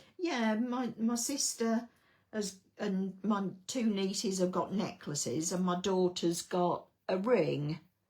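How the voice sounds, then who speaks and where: Somewhat breathy, a woman at a medium pitch speaks very slowly with an English accent and ordinary pitch variation. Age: 60s. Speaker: card-making crafter. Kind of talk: live craft tutorial. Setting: livestream at home desk. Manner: casual, hesitant with fillers.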